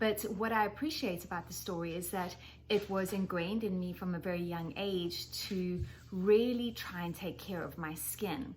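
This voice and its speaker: A somewhat breathy woman with a South African accent, medium in pitch, speaking at a moderate pace with ordinary pitch variation. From South Africa, Johannesburg. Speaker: skincare educator. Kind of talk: presentation.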